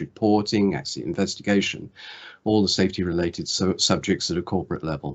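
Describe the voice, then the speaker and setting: A man with a British accent talks at a very fast pace, his fairly low pitch moving with ordinary variation. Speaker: former aviation safety regulator. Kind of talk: video call introduction.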